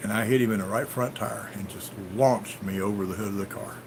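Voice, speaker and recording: Speaking with a Southern US accent, a man keeps a moderate pace. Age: 60s. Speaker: farmer and livestream host. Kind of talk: live stream chat answering viewer comments. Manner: casual, storytelling.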